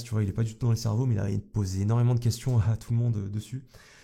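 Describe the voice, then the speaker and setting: A man speaks very fast, his medium-pitched voice dark, mellow and somewhat breathy. His intonation stays monotone and flat. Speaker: YouTube coach. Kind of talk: vlog monologue. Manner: casual, hesitant.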